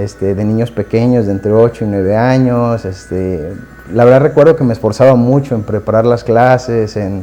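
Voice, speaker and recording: Music plays behind a man with a Mexican accent. He talks at a moderate pace with a medium pitch and ordinary pitch variation. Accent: Mexican Spanish (Jalisco). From Mexico, Guadalajara. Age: 20s. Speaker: devotee sharing conversion story. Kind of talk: personal testimony. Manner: halting, many fillers and repetitions.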